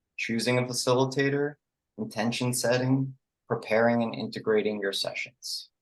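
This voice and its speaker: A man with a slight New York accent talks at a moderate pace in a flat, monotone delivery. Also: medium pitch for a man. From New York City. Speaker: psychedelic integration coach. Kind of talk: online presentation. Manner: casual, filler-heavy.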